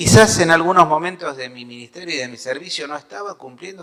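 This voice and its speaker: A man's voice over noticeable background noise. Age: 60s. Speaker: pastor. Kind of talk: sermon.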